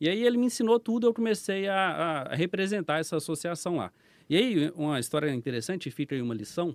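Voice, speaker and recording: A man speaks fairly quickly at a high pitch, with very wide pitch swings. The recording is very clean with a silent background and a dry, close sound with no echo. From Brazil, Minas Gerais (Belo Horizonte). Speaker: business owner, former police officer. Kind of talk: podcast interview storytelling. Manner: casual.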